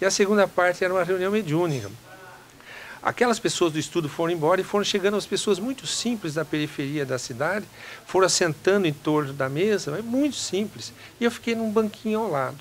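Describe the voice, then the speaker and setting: Over noticeable background noise, the speaker talks at a fairly quick pace with lively intonation. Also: man, high pitch for a man. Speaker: doctor. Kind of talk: interview answer, personal testimony.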